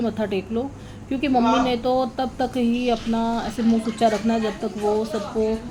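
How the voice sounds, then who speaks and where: A soft-spoken woman talks in a fairly high pitch with monotone, flat intonation and hardly any pauses. Noticeable background noise runs beneath her. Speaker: vlogger. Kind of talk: voice-over narration of family vlog.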